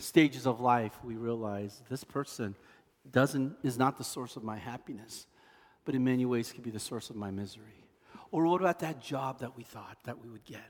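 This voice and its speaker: Speaking at a medium pitch and a moderate pace, a man has a plain, everyday voice, ordinary pitch variation and big swings in loudness. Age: 50s. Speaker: pastor. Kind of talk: sermon.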